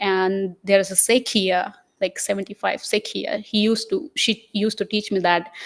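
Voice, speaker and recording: In a Gujarati accent, a woman of medium pitch speaks with fairly even intonation in a dry, close sound with no echo. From India, Maharashtra. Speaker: Buddhist nun. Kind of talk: interview. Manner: halting.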